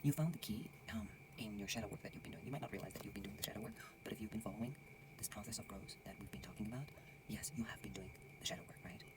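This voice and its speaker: Someone whispers at a very fast pace with long, frequent pauses over noticeable background noise. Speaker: tarot reader. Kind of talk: tarot reading monologue. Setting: lodge at night, dark room. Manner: whispered, soft; casual, conversational.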